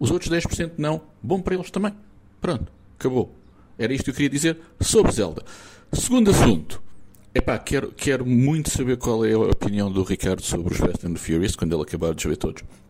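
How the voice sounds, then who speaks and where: A man's medium-pitched voice with vocal fry and a dark, mellow tone, at a fairly quick pace, with very wide pitch swings and long, frequent pauses. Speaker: listener sending voice message. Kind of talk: recorded voice message. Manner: animated.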